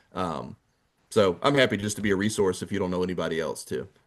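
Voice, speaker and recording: Against a quiet background, a man with an American accent talks fairly quickly at a fairly low pitch. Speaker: financial advisor. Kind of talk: virtual course talk with Q&A. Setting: video call. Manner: casual, unscripted.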